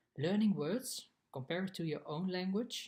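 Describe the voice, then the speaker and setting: A somewhat breathy man with a Dutch accent talks at a moderate pace, his intonation lively. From Netherlands. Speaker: exchange student. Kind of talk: scripted narration.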